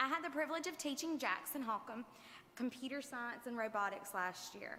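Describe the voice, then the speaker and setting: A woman's raised, projected voice, high in pitch, with lively intonation and a fairly quick pace. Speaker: teacher. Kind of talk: prepared speech at school board meeting. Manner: loud.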